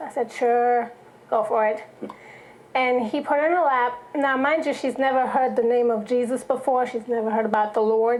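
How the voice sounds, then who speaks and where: Noticeable background noise sits behind a woman's high-pitched voice. She speaks with a slight German accent and ordinary pitch variation. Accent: slight German accent, barely noticeable. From Germany. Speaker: songwriter and church singer. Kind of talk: testimony.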